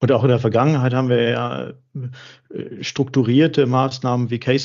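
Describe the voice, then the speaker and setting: At a moderate pace, a man with a medium-pitched voice talks in a flat monotone. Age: 40s. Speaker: charity executive. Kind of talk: interview.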